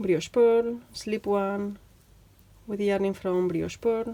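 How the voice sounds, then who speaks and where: A woman with a Spanish accent and a dark, mellow tone, speaking at a very slow pace with ordinary pitch variation. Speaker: knitting teacher. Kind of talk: tutorial. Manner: chatty; halting, many fillers.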